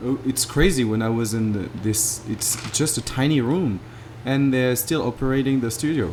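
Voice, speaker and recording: A man with a French accent at a medium pitch, ordinary pitch variation and a moderate pace, over noticeable background noise. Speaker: podcast host. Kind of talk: casual conversational interview.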